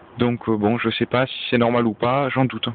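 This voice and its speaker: At a very fast pace, a man with a Toulouse accent speaks in monotone, flat intonation at a medium pitch. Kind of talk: casual DIY car diagnosis talk to camera.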